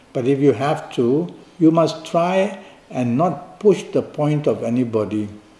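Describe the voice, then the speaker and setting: Amid noticeable background noise, a man with a fairly high pitch speaks fairly slowly with lively intonation. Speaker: astrologer. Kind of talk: horoscope reading. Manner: soft-spoken.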